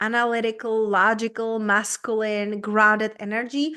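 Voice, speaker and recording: In a Czech accent, a woman speaks at a fairly slow pace. Her pitch is fairly high, and the background is quiet. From Czech Republic. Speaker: business coach. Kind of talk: interview.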